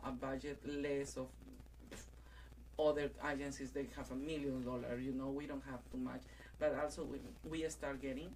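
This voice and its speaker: Someone with a non-native accent speaks at a moderate pace, leaving long, frequent pauses. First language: not English. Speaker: transgender community organization leader. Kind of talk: radio interview. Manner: halting, many fillers.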